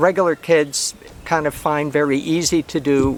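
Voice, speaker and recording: A fairly high-pitched man at a fairly slow pace, with fairly even intonation, amid noticeable background noise. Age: 70s. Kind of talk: casual talk to camera. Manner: halting, many fillers and repeats.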